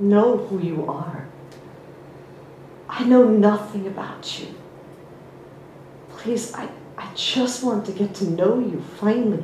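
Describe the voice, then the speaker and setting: Speaking very slowly with long, frequent pauses, a voice with an American accent shows ordinary pitch variation and big swings in loudness amid audible room echo and noticeable background noise. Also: woman, medium pitch for a woman. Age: 50s. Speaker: spiritual teacher. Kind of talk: personal story in a talk.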